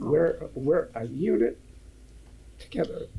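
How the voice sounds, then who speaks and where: His speech is very slow. The man has an American accent. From Detroit area, Michigan. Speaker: parent of the couple giving a toast. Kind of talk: wedding speech.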